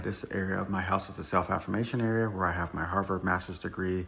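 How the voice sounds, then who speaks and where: Somewhat breathy and very deep, a man's low voice moves at a fairly quick pace. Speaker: Marine Corps veteran. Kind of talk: casual show-and-tell monologue. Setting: at home. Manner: fast.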